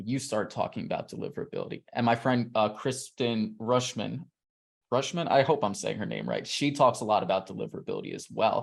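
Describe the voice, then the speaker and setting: The recording of this man, talking at a fairly quick pace, is very clean with a silent background. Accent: American. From New York City. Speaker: email marketer, interviewee. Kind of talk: interview. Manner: animated.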